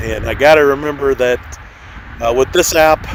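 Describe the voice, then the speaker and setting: The speaking pace is moderate. There is noticeable noise in the background. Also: man. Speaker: RC plane hobbyist vlogger. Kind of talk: live flying commentary. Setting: outdoors in a parking lot. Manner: usually loud, toned down here.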